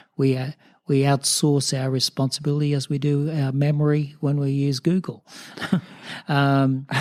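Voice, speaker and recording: A man speaks in an Australian accent at a fairly high pitch and moderate pace. His intonation is fairly even, and the sound is dry and close with no echo. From rural New South Wales, Australia. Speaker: mayor and church minister. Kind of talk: interview answer. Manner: hesitant, reflective.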